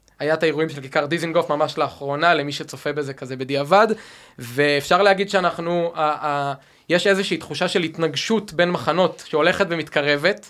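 With an unremarkable speaking voice, a man with a fairly high pitch keeps a moderate pace and fairly even intonation. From Israel, Rehovot (central Israel). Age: 30s. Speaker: civic dialogue initiative founder. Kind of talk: conversational dialogue.

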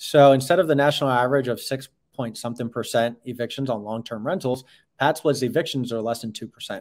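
A man with an American accent, a normal speaking voice, medium pitch, ordinary pitch variation and a fairly quick pace. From New York. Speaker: real estate account executive. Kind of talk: interview.

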